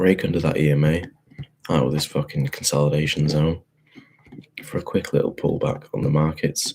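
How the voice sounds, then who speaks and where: With a British accent, a man speaks in a very deep, low voice and an animated tone. He keeps a moderate pace but pauses long and often. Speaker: forex trader. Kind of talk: market analysis tutorial. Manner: casual, animated; quiet, keeping voice down.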